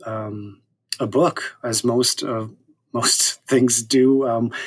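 In a Canadian accent, a man talks at a medium pitch with monotone, flat intonation. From Saskatoon, Canada. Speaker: historian and author. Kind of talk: interview conversation.

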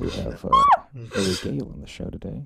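A soft-spoken man in a put-on character voice, fairly low in pitch, at a moderate pace. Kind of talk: polished broadcast host delivery. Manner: soft, soothing, hushed.

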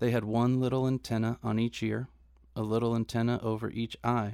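A man with an American accent speaks at a medium pitch, his voice dry and close with no echo on a very clean recording over a silent background. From Orange County, California. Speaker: podcast co-host. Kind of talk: casual chat. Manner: slow talker.

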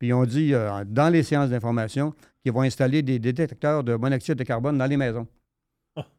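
Over a quiet background, a man with a Quebec accent speaks at a medium pitch in a dark, mellow tone with fairly even intonation. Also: fairly quick pace. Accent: Québécois French. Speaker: political commentator. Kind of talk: casual chat.

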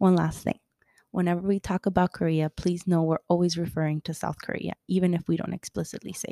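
In a Miami accent, this voice runs at a very fast pace with a dark, mellow tone and monotone, flat intonation, on a very clean recording with a silent background. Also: woman, fairly low pitch for a woman. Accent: Miami American English. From Colombia, raised in Miami. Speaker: podcast host. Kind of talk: podcast trailer, scripted intro.

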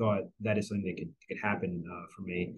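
A man speaks at a very fast pace in an American accent. His voice is somewhat breathy, with fairly even intonation. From northern New Jersey. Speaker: sports marketing executive. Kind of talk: interview.

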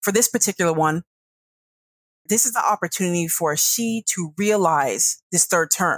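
A woman with a plain, everyday voice speaks at a medium pitch, her loudness very even and the sound dry and close with no echo. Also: ordinary pitch variation, moderate pace. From US, northern Virginia (Centreville), Ghanaian immigrant parents. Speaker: foreign policy consultant. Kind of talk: interview.

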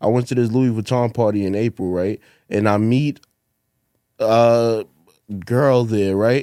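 Speaking at a fairly slow pace with long, frequent pauses, a man of medium pitch keeps very even loudness, fairly even intonation and a dark, mellow tone. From Brooklyn, New York. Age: 30s. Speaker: comedian. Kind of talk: casual chat.

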